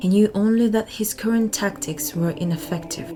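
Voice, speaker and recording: Over background music, a woman talks at a fairly slow pace with ordinary pitch variation. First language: not English. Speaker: audiobook narrator. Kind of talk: reading aloud.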